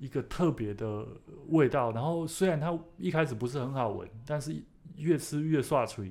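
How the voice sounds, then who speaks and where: This man has a normal speaking voice. He keeps a moderate pace with ordinary pitch variation. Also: fairly high pitch for a man. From Taiwan, Taichung. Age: 30s. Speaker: author and plant collector. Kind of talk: casual chat. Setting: studio.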